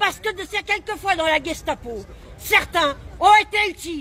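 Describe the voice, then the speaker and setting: A woman with an animated tone projects a raised voice at an extremely high pitch, speaking at a fairly slow pace with ordinary pitch variation. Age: 60s. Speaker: protester. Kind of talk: impromptu street speech. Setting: outdoors at a street protest. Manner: animated, indignant.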